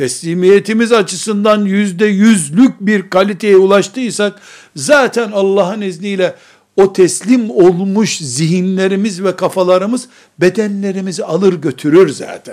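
On a very clean recording with a silent background, a man with a high pitch speaks at a fairly slow pace with ordinary pitch variation. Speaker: Islamic preacher. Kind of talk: religious lecture.

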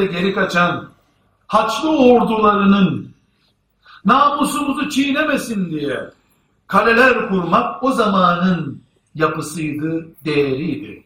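Raised and projected, a man's voice has a bright, sharp tone, very wide pitch swings and a very slow pace. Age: 50s. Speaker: Islamic preacher. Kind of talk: sermon. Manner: formal.

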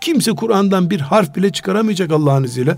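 Amid noticeable background noise, a man speaks very fast with lively intonation. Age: 60s. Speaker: Islamic scholar. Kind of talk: religious talk radio discussion. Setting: radio studio.

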